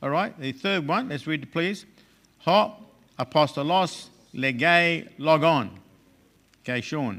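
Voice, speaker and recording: Loud, with a bright, sharp tone, a man speaks at a fairly high pitch and a fairly slow pace, with lively intonation and long, frequent pauses. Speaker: Greek teacher. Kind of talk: lecture.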